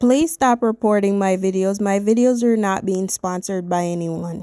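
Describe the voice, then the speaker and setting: A woman's medium-pitched, dark and mellow voice at a moderate pace, with ordinary pitch variation on a very clean recording with a silent background. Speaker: lifestyle vlogger. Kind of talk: casual vlog voice-over. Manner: speaking without her usual accent.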